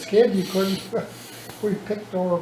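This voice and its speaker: Over noticeable background noise, a man talks with an Upper Midwest accent. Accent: Upper Midwest American. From Minnesota. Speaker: retired farmer. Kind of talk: family storytelling interview.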